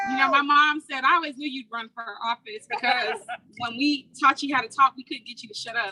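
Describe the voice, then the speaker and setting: With an American accent, a woman uses a raised, projected voice in a high pitch with ordinary pitch variation, in a dry, close sound with no echo. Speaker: congressional candidate. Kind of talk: rally speech. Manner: loud.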